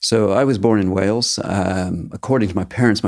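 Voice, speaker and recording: In a very clean recording with a silent background, a man speaks with a Maritime Canadian accent. His pitch is fairly low, his intonation fairly even, and his pace moderate. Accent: Canadian (Maritimes). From eastern Canada, Halifax, Nova Scotia. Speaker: teacher. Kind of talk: interview.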